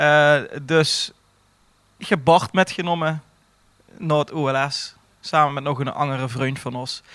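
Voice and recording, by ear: A man's fairly high, clear, smooth and fairly bright voice at a fairly slow pace, with little pitch movement and long, frequent pauses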